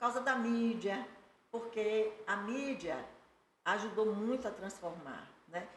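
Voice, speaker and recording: Speaking very slowly, a woman uses a fairly high pitch with ordinary pitch variation. Her loudness swings widely, and room echo is audible. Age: 60s. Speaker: lawyer and animal rights advocate. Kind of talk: podcast interview.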